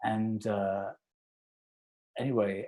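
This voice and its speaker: This man has a British accent and a fairly low pitch. His tone is dark and mellow. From England. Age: 60s. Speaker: conductor. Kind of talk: interview, casual chat.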